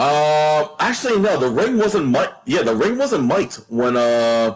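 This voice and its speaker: A man's fairly high voice with very wide pitch swings and very even loudness, at a fairly slow pace, over noticeable background noise. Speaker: wrestling ring announcer. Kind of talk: interview answer.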